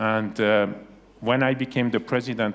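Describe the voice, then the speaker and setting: Fairly low in pitch, a man delivers his words with fairly even intonation. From Geneva, Switzerland. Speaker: university president. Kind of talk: panel interview.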